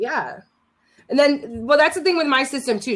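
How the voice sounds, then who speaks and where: A woman speaks loudly in a high pitch, her pitch swinging very widely. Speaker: live streamer and startup founder. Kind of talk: casual chat. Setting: live stream video chat.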